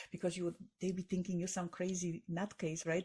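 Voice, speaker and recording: A woman's fairly low, somewhat breathy voice with a dark, mellow tone and a Polish accent. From Poland. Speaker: author and tech entrepreneur. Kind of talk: podcast interview. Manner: halting, with fillers and repetitions.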